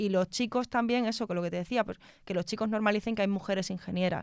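The recording is dry with no echo, set against a quiet background. A woman speaks at a medium pitch with ordinary pitch variation. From Spain, Extremadura (Mérida); Extremadura, Spain. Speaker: telecom engineer; guest. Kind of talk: interview conversation. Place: studio. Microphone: studio mic.

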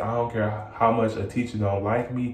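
A moderate pace with audible room echo. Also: man. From Michigan, Detroit area. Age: 20s. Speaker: YouTuber. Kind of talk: Q&A vlog. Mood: proud, determined. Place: bathroom. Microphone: phone near.

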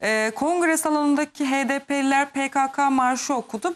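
A woman's high-pitched voice. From Kurdish Turkey. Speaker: TV news host. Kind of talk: TV interview.

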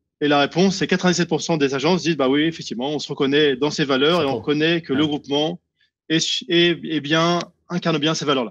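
A plain, everyday voice from a man, fairly high in pitch and fairly even in intonation, over a quiet background. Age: 50s. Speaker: real estate network founder; guest. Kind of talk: interview. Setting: on holiday location. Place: home room. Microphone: video call.

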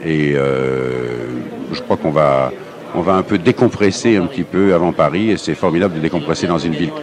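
A man's very deep, low voice, dry with no echo, over noticeable background noise. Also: moderate pace. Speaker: interviewee. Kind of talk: interview answer. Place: hall.

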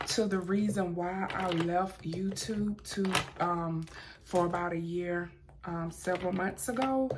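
A woman at a very slow pace over noticeable background noise. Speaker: lifestyle vlogger. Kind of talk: casual vlog chat. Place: home room. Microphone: phone near.

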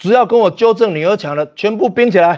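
Against a quiet background, a man with a high-pitched voice speaks in an animated tone. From Taiwan. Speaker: livestream host. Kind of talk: casual livestream chat with viewers. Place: home room. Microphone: lapel.

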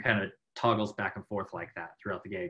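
Against a quiet background, a man's voice comes through with a bright, sharp tone. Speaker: conference speaker, badge designer. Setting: online conference talk. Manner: fast talker.

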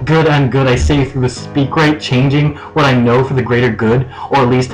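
Music can be clearly heard behind the voice. A man speaks fairly fast. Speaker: slam poet. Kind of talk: slam poetry performance. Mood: intense, anguished. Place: home room. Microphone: webcam.

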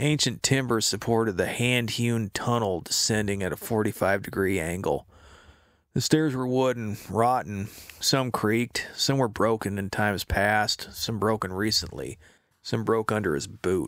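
A man speaks slowly at a fairly low pitch with a dramatic tone. The recording is very clean with a silent background. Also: ordinary pitch variation. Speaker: audiobook narrator and author. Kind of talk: audiobook narration of a pulp short story, read aloud; dramatic narration with gritty action and a booming monster voice. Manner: dramatic, punchy and clipped, with tension building in the action scenes.

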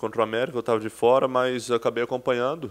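A man's monotone, flat delivery over a quiet background. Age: 30s. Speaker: professional football player. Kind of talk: press conference interview. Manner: halting, many repetitions and fillers. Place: meeting room. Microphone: podium.

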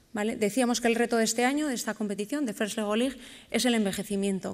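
Speaking very fast, a woman keeps her intonation fairly even. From Bilbao, Basque Country, Spain. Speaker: educational robotics program organizer. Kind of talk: conference presentation. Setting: stage with audience at a conference. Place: stage. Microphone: podium.

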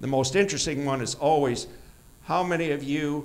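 Speaking fairly quickly with an American accent, a man uses a fairly high pitch and ordinary pitch variation. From Michigan. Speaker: orchard owner and cider maker; presenter. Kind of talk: conference presentation. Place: hall. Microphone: handheld.

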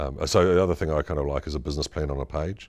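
A man with a very deep, low voice talks very fast with vocal fry. The background is quiet. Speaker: marketing executive. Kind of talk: interview. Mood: calm, reflective. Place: office. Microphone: lapel.

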